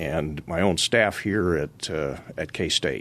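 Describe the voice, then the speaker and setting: Here a man speaks with vocal fry. His intonation is lively. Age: 60s. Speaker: agricultural mediation staff attorney. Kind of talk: radio interview.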